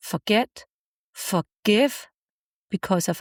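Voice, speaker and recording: In a very clean recording with a silent background and a dry, close sound with no echo, a woman speaks at a very slow pace in a warm, somewhat breathy tone. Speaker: podcast host, self-help speaker; mother. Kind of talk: heartfelt podcast monologue on healing and forgiveness. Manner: warm, reassuring, emotionally sincere.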